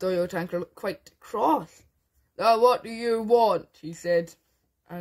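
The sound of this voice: The speaker uses an unforced reading voice with ordinary pitch variation over a quiet background.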